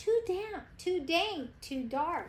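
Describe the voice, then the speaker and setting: A squeaky, put-on character voice from a woman, extremely high in pitch with very wide pitch swings, over light background noise. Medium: read story.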